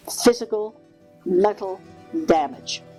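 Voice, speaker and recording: Music plays in the background as the speaker goes at a very slow pace. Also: woman. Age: 80s+. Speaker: hypnotherapist. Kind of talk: spiritual talk to camera.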